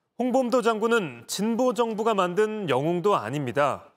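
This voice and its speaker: This man's voice is high in pitch, with very wide pitch swings. He speaks at a fairly slow pace. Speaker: news reporter. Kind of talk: news report.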